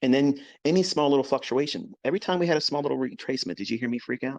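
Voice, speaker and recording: Against a quiet background, a man speaks at a fairly quick pace and a fairly high pitch with lively intonation. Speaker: trading educator. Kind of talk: live trading commentary. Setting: live stream. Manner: calm.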